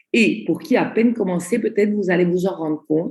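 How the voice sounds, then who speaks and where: Lively intonation marks this woman's speech. Her tone is dark and mellow, and somewhat breathy. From Italy. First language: Italian (speaking French). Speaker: network marketing trainer. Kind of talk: online training presentation. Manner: slow, deliberate.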